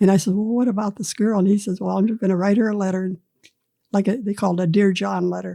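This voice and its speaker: Speaking very fast with an American accent, a woman keeps a medium pitch and monotone, flat intonation. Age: 80s+. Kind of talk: interview answer.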